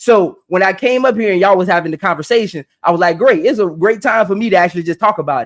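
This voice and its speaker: Shouting loud and animated, a high-pitched man speaks at a very fast pace with hardly any pauses. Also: ordinary pitch variation. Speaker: podcast host. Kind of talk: live stream panel discussion. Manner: loud, yelling.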